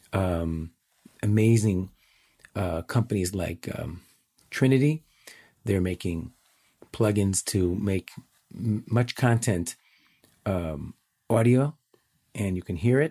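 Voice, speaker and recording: With a Chicago accent, a man speaks very slowly in a dark, mellow tone at a fairly low pitch, leaving long, frequent pauses, the sound dry and close with no echo. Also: ordinary pitch variation. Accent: Chicago American. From US Midwest, Chicago. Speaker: educator and app founder. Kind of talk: remote interview answers.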